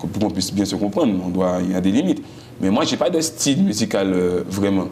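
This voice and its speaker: A man at a fairly quick pace, fairly low in pitch with ordinary pitch variation, plus audible room echo and noticeable background noise. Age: young. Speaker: singer. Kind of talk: interview. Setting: TV studio. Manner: loud.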